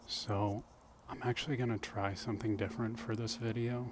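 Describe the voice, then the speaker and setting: A soft-spoken, somewhat breathy male voice in a monotone, flat intonation. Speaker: self-growth speaker. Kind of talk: ASMR soft-spoken reflection. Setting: outdoors.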